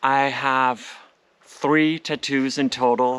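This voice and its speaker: Speaking with a Danish accent, a man has a fairly high pitch and lively intonation. His pace is very slow. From Denmark, Copenhagen suburb. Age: 40s. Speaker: home renovation vlogger. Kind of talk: vlog narration; Q&A vlog. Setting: outdoors in garden.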